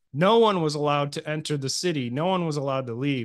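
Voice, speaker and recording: With a Midwestern US accent, a man talks fairly quickly at a fairly high pitch, his pitch varying in an ordinary way. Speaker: podcast host. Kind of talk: casual podcast storytelling. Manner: halting.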